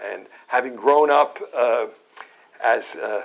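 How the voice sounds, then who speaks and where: A man speaks with a Brooklyn accent. He keeps a fairly slow pace. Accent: Brooklyn, New York. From Brooklyn, New York. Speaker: speaker addressing an audience. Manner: hesitant, many fillers and repeated words.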